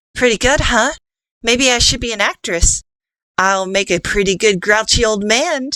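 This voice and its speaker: A female-sounding, put-on character voice pitched fairly high for a woman. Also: moderate pace. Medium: read story. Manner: bold, theatrical in disguise.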